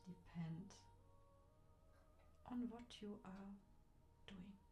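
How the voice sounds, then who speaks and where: Someone soft-spoken talks with music in the background. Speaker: meditation guide. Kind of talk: ASMR guided relaxation.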